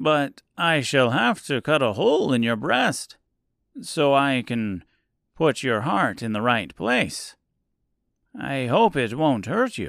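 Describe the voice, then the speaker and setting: A man does a put-on character voice at a medium pitch and a fairly slow pace. The recording is very clean, with a silent background. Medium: audio drama. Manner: smooth, accommodating.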